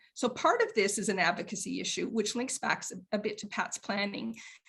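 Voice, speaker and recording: Fairly high in pitch, a woman speaks in a plain, everyday voice. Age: 60s. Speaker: elder rights advocate. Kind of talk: panel discussion.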